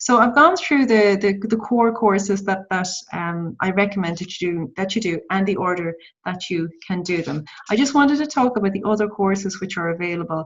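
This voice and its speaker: Her voice somewhat breathy, a woman speaks at a moderate pace and medium pitch with ordinary pitch variation. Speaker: social media trainer. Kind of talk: tutorial. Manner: halting.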